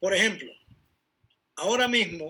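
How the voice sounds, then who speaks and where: A raised, projected voice with a bright, sharp tone, at a moderate pace with ordinary pitch variation. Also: man. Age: 70s. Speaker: bible teacher. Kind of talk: bible study talk.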